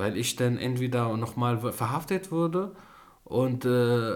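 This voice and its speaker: With an Arabic accent, a man speaks at a medium pitch. His voice has ordinary pitch variation. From Syria, Damascus. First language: Arabic (speaking German). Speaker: filmmaker and YouTuber. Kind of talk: interview. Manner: halting, broken German with many fillers.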